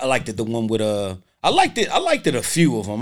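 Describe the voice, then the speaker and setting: Speaking at a fairly quick pace with lively intonation, this voice comes through on a very clean recording against a silent background. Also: man. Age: 40s. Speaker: podcast co-host. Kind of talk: casual chat. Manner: animated.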